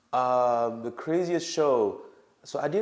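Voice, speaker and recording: With a French accent, a man talks with ordinary pitch variation. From Senegal, West Africa. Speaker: rapper. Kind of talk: casual interview.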